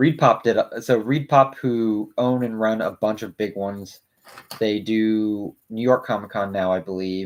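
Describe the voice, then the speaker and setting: A man mumbling at fairly low pitch. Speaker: YouTube co-host building Lego. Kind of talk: casual chat.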